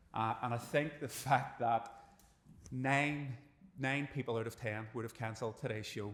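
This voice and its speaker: With a plain, everyday voice, a man speaks at medium pitch with fairly even intonation. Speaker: podcast host. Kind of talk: live podcast host introduction.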